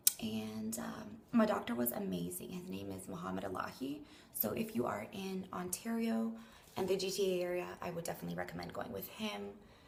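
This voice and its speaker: Amid noticeable background noise and audible room echo, a woman with a very deep, low pitch talks at a fairly quick pace with very wide pitch swings. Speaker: vlogger. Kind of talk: casual vlog update. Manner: chatty.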